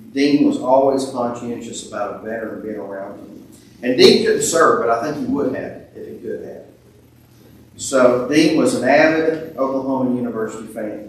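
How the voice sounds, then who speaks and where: A man at a moderate pace with ordinary pitch variation and big swings in loudness, amid strong room echo and light background noise. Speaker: preacher at a funeral. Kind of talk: eulogy. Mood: warm, lightly humorous. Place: church.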